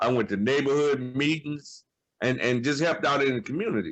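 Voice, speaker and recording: A man speaks with a fairly high pitch, an unremarkable speaking voice. His pace is moderate and his pitch variation ordinary. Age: 60s. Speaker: former smoker sharing quit story. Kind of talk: panel discussion on webinar.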